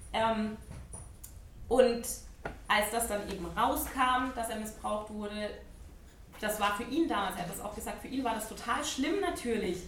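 Amid audible room echo and noticeable background noise, a woman speaks fairly slowly at a fairly high pitch, with ordinary pitch variation and long, frequent pauses. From Baden-Württemberg, Ludwigsburg near Stuttgart. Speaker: abuse survivor and advocate. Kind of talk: talk to an audience.

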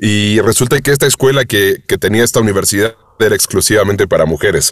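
Recorded with a dry, close sound and no echo, a man with a Mexican accent talks at a fairly quick pace. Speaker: voice actor and audiobook narrator. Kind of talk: interview conversation.

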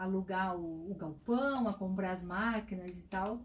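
At a fairly slow pace, a woman talks with ordinary pitch variation. There is a somewhat breathy quality to her voice. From Itajaí, Santa Catarina, Brazil. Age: 40s. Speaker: business founder. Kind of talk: interview. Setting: studio.

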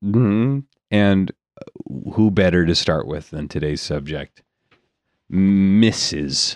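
Very slow, with long, frequent pauses, a man speaks in a very deep, low pitch with lively intonation. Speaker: comedy podcast host. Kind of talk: improv comedy chat. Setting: studio. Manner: laughs often.

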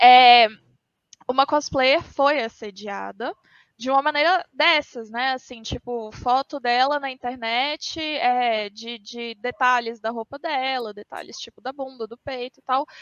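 At a fairly slow pace, a woman talks in a high pitch, her loudness swinging widely. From Minas Gerais, Brazil. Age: 20s. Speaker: pop culture event organizer. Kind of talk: casual chat.

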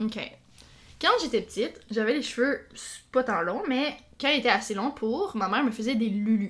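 A woman of fairly high pitch at a moderate pace, ordinary pitch variation and long, frequent pauses throughout. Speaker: podcast co-host, teacher. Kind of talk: casual chat.

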